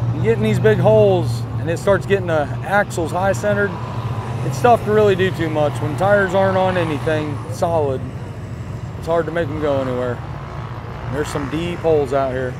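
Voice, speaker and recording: The speech moves at a fairly quick pace but breaks into long, frequent pauses. Noticeable background noise runs underneath. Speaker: mud bogging crew member. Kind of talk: casual banter. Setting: outdoors at a mud park.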